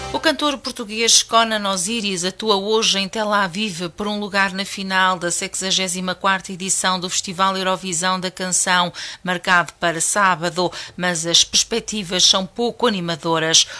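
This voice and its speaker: A woman with a bright, sharp tone speaks at a fairly slow pace and fairly even intonation. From Portugal. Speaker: radio news presenter. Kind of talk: news reading. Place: studio. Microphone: studio mic.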